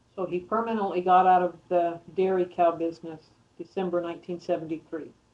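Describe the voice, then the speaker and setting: A woman's fairly low, monotone voice with flat intonation, an American accent and a fairly quick pace. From Arizona. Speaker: interviewee's daughter. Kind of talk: family interview. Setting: at home.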